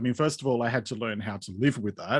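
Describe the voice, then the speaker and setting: A man's medium-pitched voice with an Australian accent and ordinary pitch variation, on a very clean recording with a silent background. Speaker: podcaster and mental health writer. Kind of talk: interview.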